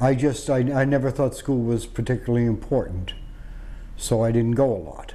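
The pace here is moderate. A man delivers it with an American accent. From Boston, Massachusetts. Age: 50s. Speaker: war veteran. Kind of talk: oral history interview. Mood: reflective, matter-of-fact. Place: home room. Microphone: lapel.

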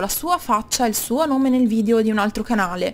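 Talking at a very fast pace, a woman uses a high pitch. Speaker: YouTuber. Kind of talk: casual talk to camera, opinion rant.

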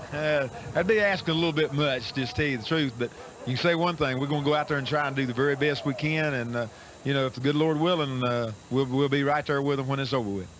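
Over light background noise, a man talks at a very fast pace with ordinary pitch variation, the sound dry with no echo. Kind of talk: interview answer. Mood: warm, grateful, smiling. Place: car. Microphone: handheld.

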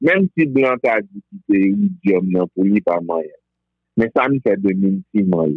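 With an unremarkable speaking voice, a man talks at a moderate pace. His pitch is fairly low and his intonation lively. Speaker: Vodou practitioner. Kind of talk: interview.

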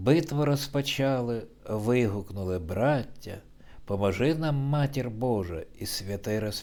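The speaker reads in a natural way. The voice suits reading aloud.

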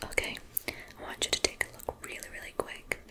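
A soft-spoken woman at a moderate pace over loud background noise. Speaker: ASMR creator. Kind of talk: soft ASMR instruction. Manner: soft, close ASMR voice. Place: home room.

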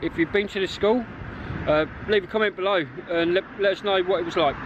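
Over noticeable background noise, a man with a high pitch talks at a fairly quick pace with ordinary pitch variation, in a dry sound with no echo. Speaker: urban explorer vlogger. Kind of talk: casual vlog chat. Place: street. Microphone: phone near.

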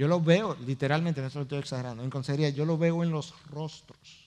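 The pace is moderate, and the pitch shifts in an ordinary way. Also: man. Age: 50s. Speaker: pastor. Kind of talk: sermon. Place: stage.

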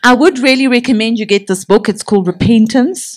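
Against a quiet background, the speaker goes at a moderate pace with ordinary pitch variation. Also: woman. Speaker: minister teaching a session. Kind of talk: sermon. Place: hall. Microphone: handheld.

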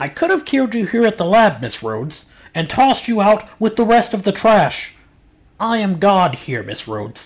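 A man's put-on character voice, high-pitched, raised and projected. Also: moderate pace. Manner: smug, formal, then menacing.

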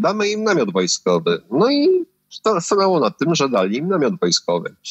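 A man with a Polish accent speaks at a moderate pace. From Poland, Puławy. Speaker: recovering addict. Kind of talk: personal testimony. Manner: halting, repeats words.

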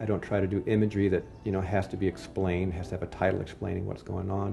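A man with an American accent talks at a very fast pace in a very deep, low voice. Music plays in the background. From Ohio, USA. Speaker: sculptor. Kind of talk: interview answer. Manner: soft-spoken, shy.

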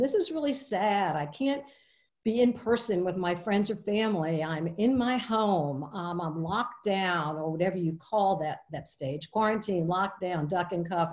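Very wide pitch swings over a quiet background. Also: woman. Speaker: webinar presenter. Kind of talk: lecture. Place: home room. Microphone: webcam.

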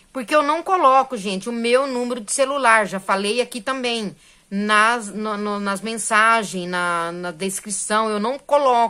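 A woman with a bright, sharp tone speaks at a fairly slow pace with hardly any pauses. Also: fairly high pitch for a woman, ordinary pitch variation, quiet background. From Brazil. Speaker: crochet YouTuber. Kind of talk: casual tutorial vlog. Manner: animated. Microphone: phone near.

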